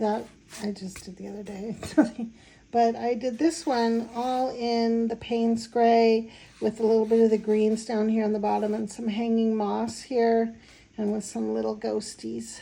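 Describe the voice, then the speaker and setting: Speaking at a fairly slow pace, a woman has a fairly high pitch, a dark, mellow tone and monotone, flat intonation. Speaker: watercolor artist. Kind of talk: tutorial. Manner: hesitant, many fillers.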